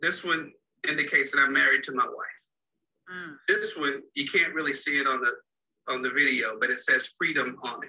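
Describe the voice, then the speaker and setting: A man talks at a fairly quick pace with a Texan accent. His speech has long, frequent pauses. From Dallas, Texas. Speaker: marriage coach. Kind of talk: interview.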